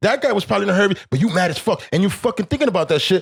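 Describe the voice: Speaking very fast with lively intonation, a man uses a high pitch, a slightly husky edge and vocal fry.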